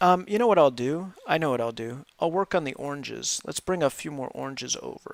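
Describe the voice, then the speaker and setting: With hardly any pauses, a man with a fairly high voice talks at a fairly quick pace in a relaxed tone and lively intonation. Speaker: livestreamer doing a jigsaw puzzle. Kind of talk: casual live stream chat. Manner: mellow, not excited; relaxed, with many fillers.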